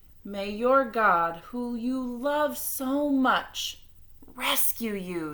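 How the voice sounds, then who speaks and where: A put-on character voice, female-sounding and high in pitch, at a very slow pace. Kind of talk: bedtime story. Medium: read story.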